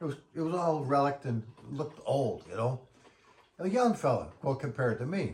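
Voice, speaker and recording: A somewhat breathy voice at a moderate pace, with lively intonation. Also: man, fairly high pitch for a man. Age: 60s. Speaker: musician vlogger. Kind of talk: casual monologue. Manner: animated; halting.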